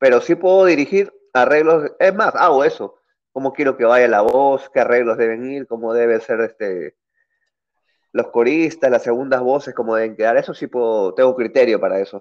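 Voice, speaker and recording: A man with an unremarkable speaking voice, medium pitch, ordinary pitch variation and a moderate pace, against a quiet background. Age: 30s. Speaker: guitarist and music producer. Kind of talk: casual interview.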